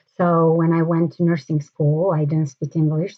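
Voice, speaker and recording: Here a woman speaks with a very deep, low pitch. Her intonation is fairly even and her pace moderate. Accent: Romanian. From Romania. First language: Romanian. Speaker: mayoral candidate, nurse. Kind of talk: interview. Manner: halting, many fillers.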